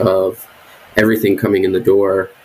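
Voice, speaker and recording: A man with an American accent talks at a moderate pace in an unremarkable speaking voice. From New Jersey. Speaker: state wildlife herpetologist. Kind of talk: interview conversation.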